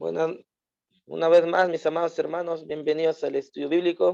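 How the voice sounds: A man's fairly high, dark and mellow voice with vocal fry, little pitch movement and a fairly quick pace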